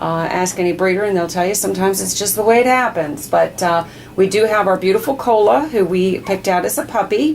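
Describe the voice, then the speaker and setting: With an American accent, the speaker keeps a moderate pace and ordinary pitch variation over noticeable background noise. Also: woman. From Maryland, DC suburbs. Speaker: dog breeder. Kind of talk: casual video update. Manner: hesitant with many fillers.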